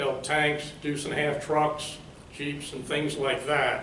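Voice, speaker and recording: A man speaks at a fairly slow pace and a fairly high pitch. The room echo is audible, and so is noticeable background noise. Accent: American. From Maryland (Baltimore). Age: 70s. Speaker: retired engineer, new club member. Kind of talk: personal introduction speech. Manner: halting, with many fillers.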